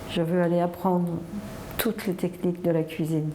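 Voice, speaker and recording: Noticeable background noise runs behind a woman whose fairly low voice moves at a moderate pace. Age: 60s. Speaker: chocolate mousse entrepreneur. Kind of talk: personal testimony.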